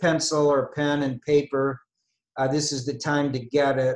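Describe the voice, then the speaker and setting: This man's voice sits at a fairly high pitch. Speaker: investment strategist presenting a webinar. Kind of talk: webinar lecture. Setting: online webinar. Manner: slow, deliberate; hesitant, many filler words.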